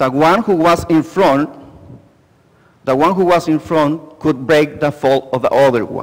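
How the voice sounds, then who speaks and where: Speaking at a fairly slow pace, a man with a fairly high pitch uses ordinary pitch variation and takes long, frequent pauses. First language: Spanish. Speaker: lay preacher. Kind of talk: bilingual sermon. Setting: church. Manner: repeats each part in English and Spanish.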